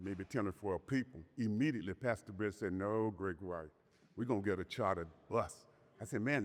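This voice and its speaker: The man's pitch sits fairly low. He talks at a moderate pace. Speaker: community leader. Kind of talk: ceremony speech. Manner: loud.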